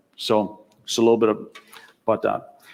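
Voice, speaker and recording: A man speaks in a medium pitch with a German accent. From Germany. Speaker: tech executive. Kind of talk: conference talk.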